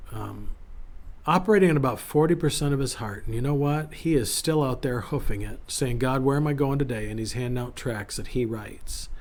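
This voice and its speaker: A man's fairly high voice at a fairly quick pace, with audible room echo. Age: 50s. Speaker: pastor. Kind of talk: casual devotional talk. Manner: casual, conversational with fillers.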